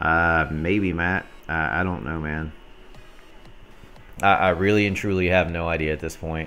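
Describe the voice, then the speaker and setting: Over music in the background and audible room echo, a man with an American accent and a very deep, low pitch speaks in fairly even intonation with long, frequent pauses. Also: fairly slow pace. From US South, North Alabama near Gadsden. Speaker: gaming streamer and clan leader. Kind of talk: live game commentary and chat.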